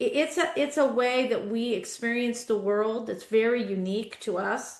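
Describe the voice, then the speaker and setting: With an unremarkable speaking voice, a woman talks at a moderate pace, her fairly high pitch carrying lively intonation. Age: 60s. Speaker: guest podcast host. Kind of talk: casual interview conversation.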